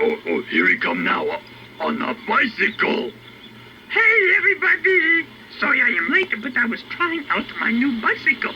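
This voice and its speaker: Here is a cartoonish character voice with very wide pitch swings. Background noise is clearly audible. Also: man, extremely high pitch for a man, moderate pace. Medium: puppet. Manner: excitable.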